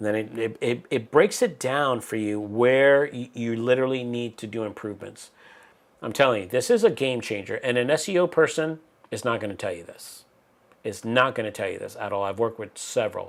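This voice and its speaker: A man with an unremarkable speaking voice at medium pitch talks at a fairly quick pace with ordinary pitch variation and big swings in loudness. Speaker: YouTube channel host. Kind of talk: tutorial. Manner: casual, conversational.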